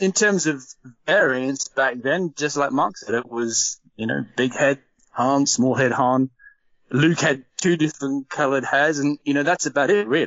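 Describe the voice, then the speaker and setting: Delivered at a moderate pace, the speech has an Australian accent and ordinary pitch variation. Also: man, fairly high pitch for a man. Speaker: toy collector. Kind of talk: podcast interview. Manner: casual, hesitant fillers.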